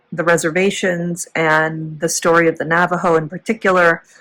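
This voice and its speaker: The voice belongs to a woman with a fairly low pitch. She speaks at a moderate pace. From US Midwest, Chicago area. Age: 40s. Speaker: former teacher, vlogger. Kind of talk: casual vlog storytelling. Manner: rambling, tangential.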